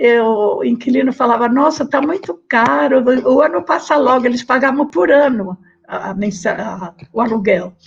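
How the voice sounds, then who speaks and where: With vocal fry and lively intonation, a woman talks at a moderate pace in a fairly high voice. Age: 90s. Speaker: interviewee, researcher's mother. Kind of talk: oral history testimony. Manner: halting.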